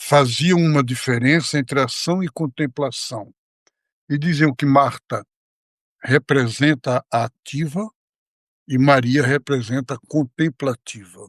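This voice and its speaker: A man's fairly high voice at a very slow pace with long, frequent pauses and ordinary pitch variation, on a very clean recording with a silent background and a dry, close sound with no echo. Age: 80s+. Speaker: monk. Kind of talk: religious discussion.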